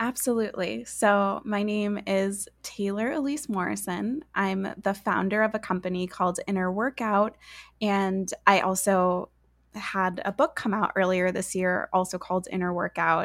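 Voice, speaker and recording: A woman with an ordinary speaking voice talks at a fairly slow pace in a medium pitch, with ordinary pitch variation, on a very clean recording with a silent background. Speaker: author and coach. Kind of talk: interview conversation.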